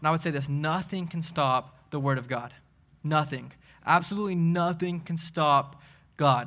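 A man speaks with a Southern US accent at a moderate pace. His voice is fairly high, with a bright, sharp tone. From Tennessee (Crossville). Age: 20s. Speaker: young adults pastor. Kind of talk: sermon. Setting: church. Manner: animated.

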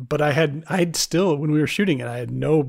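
Here a man speaks with a somewhat breathy voice. The intonation is fairly even. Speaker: podcast host and filmmaker. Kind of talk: casual interview.

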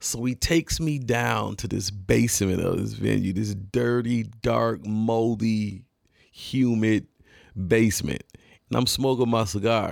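A man with a plain, everyday voice talks at a fairly slow pace with medium pitch and ordinary pitch variation on a very clean recording with a silent background. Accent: American. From Detroit area, Michigan. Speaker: podcast host and rapper. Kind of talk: storytelling monologue. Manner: casual, many fillers.

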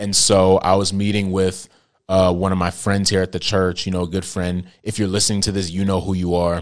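Over a quiet background, a man with a very deep, low pitch speaks at a fairly quick pace in a monotone, flat intonation. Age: 20s. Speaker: podcast host and young preacher. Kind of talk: casual solo podcast talk on faith. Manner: casual with many fillers.

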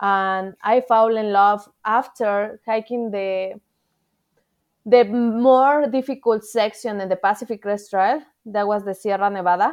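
In a Mexican accent, a woman speaks at a fairly high pitch. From Mexico City. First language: Spanish. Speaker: thru-hiker. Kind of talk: casual interview. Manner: animated, halting with grammar errors.

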